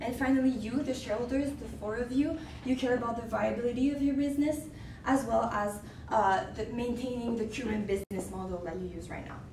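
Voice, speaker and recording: Amid noticeable background noise and audible room echo, a woman speaks at a fairly quick pace in a fairly high pitch, with ordinary pitch variation and big swings in loudness. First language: French. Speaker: student in a case competition. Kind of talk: business presentation. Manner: halting.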